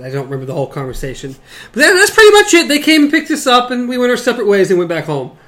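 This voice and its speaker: Over noticeable background noise, a man talks very fast in a high voice with very wide pitch swings. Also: big swings in loudness. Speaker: podcast host. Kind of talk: casual chat podcast. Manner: casual, chatty.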